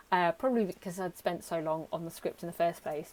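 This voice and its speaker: Her pitch sits in the medium range, and the woman's voice varies in an ordinary way. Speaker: YouTuber vlogger. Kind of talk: casual talking-to-camera reflection. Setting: home recording to camera. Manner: hesitant, many ums. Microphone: poor sound quality.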